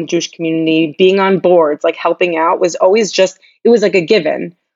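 A woman with an American accent speaks in a plain, everyday voice, fairly low in pitch. Her pace is fairly quick and her intonation fairly even. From US Northeast, Long Island, New York. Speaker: nonprofit entrepreneur and philanthropist. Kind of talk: casual interview.

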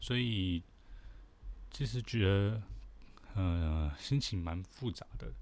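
Very deep and low, a man's voice carries lively intonation. He talks at a very slow pace, leaving long, frequent pauses. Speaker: podcast host. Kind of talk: solo commentary monologue.

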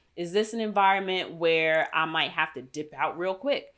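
An animated tone and lively intonation come through on a very clean recording with a silent background. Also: woman. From New York City. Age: 30s. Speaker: podcast host. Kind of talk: casual monologue. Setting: home recording with dog.

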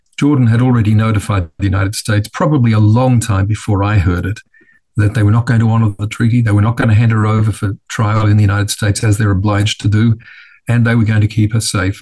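A man's fairly low, somewhat breathy voice with a dark, mellow tone, very even loudness, fairly even intonation, and a very fast pace. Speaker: bereaved father and justice campaigner. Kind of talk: serious interview. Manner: earnest, formal.

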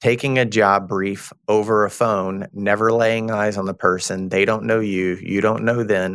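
In a Texan accent, a man speaks at a fairly slow pace with fairly even intonation and a fairly low pitch, recorded very cleanly with a silent background. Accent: Texan Southern US. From Texas. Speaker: recruitment firm partner. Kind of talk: interview.

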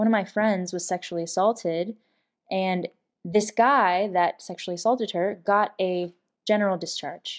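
An ordinary speaking voice at a moderate pace, with fairly even intonation, on a very clean recording with a silent background. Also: woman, medium pitch for a woman. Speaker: Air Force veteran and advocacy founder. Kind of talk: interview.

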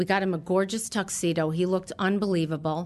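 An American-accented woman in a plain, everyday voice, fairly low-pitched, at a moderate pace with fairly even intonation against a quiet background. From New York, Long Island. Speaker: retail stylist. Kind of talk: storytelling interview.

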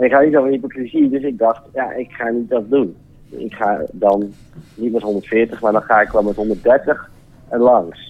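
A man is heard with an ordinary speaking voice. He speaks at a medium pitch. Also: fairly even intonation, fairly slow pace. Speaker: caller. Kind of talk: telling an anecdote.

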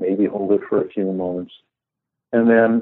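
Here a man talks with an American accent. His pace is moderate. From US West Coast, Los Angeles area. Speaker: meditation teacher and author. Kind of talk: guided meditation, gentle spoken breathing and sitting instructions for listeners; casual interview. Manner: animated, laughing storyteller.

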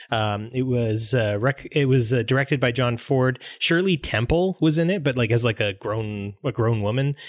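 With a western Canadian accent, the speaker keeps a moderate pace, very even loudness, ordinary pitch variation and hardly any pauses. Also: man, medium pitch for a man. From Grand Prairie, Alberta, Canada. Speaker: English teacher and podcast co-host. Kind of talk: casual chat.

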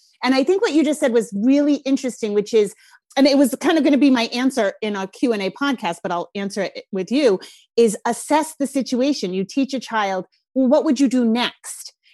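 In a strong Rhode Island accent, a woman talks fairly quickly at a high pitch with lively intonation, the sound dry and close with no echo. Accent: Rhode Island, thick. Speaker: parenting podcast host. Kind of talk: casual interview chat.

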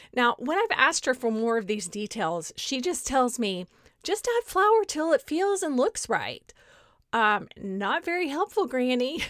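Speaking with a Texas accent, a woman talks fairly slowly at a high pitch with very wide pitch swings. The recording is very clean, with a silent background. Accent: Southern US (Texas). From Southeast Texas, Beaumont. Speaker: podcast host, educator. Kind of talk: solo podcast talk.

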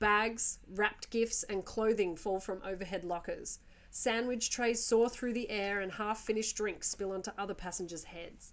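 Speaking at a fairly slow pace, a woman has a medium pitch and ordinary pitch variation.

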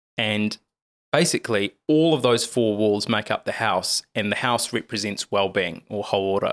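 Recorded very cleanly against a silent background, a man of medium pitch speaks with ordinary pitch variation in a dry, close sound with no echo. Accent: New Zealand. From New Zealand, Lower Hutt. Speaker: TV journalist and author. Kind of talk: interview conversation.

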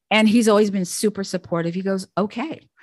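Recorded with a dry, close sound and no echo, a woman speaks fairly quickly at a medium pitch. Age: 60s. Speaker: Air Force veteran and podcaster. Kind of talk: casual chat. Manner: animated.

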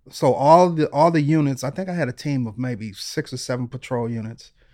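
This is an unremarkable speaking voice with an American accent. Pitch variation is ordinary, and the pace is moderate. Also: man. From Detroit, US Midwest. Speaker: retired police detective and author. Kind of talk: interview storytelling.

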